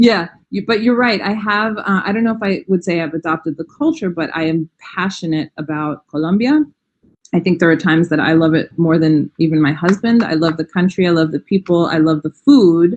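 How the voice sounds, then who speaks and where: A fairly quick pace with ordinary pitch variation. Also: woman, fairly low pitch for a woman. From New York. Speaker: language educator. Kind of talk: interview.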